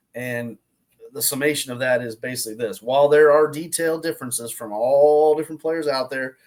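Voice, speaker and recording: Fairly even in intonation, a man talks with a Southern US accent. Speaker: golf instructor. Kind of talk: casual online talk. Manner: loud; halting, repetitive.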